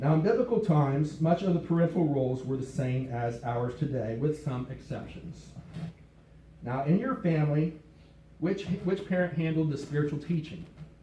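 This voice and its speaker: This man has a normal speaking voice and an American accent. His pitch is fairly high, with ordinary variation, at a moderate pace. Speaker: pastor. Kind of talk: live church sermon. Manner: conversational, teaching.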